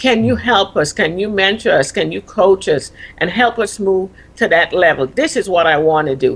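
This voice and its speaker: In a Caribbean accent, a woman speaks at medium pitch and a moderate pace, her pitch swinging very widely. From Caribbean, Virgin Islands. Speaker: retired army officer and leadership coach. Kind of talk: TV interview.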